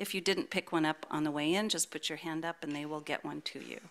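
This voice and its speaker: With a bright, sharp tone and ordinary pitch variation, a woman speaks at a fairly low pitch in a very clean recording with a silent background. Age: 70s. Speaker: worship associate. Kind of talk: church announcements and welcome. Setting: church service with congregation, streamed. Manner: warm, upbeat.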